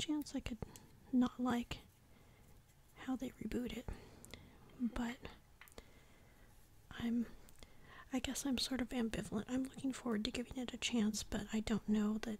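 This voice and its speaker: The voice is soft-spoken at a moderate pace. Long, frequent pauses break it up. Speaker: ASMR creator. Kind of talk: casual talk to camera. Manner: soft-spoken, quiet.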